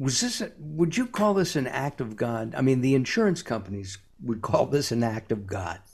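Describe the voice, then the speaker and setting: A man's somewhat breathy, medium-pitched voice at a moderate pace, with very wide pitch swings and hardly any pauses. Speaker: radio host. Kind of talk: infomercial, radio ad read. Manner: brisk, upbeat, salesy, repeating phone number clearly.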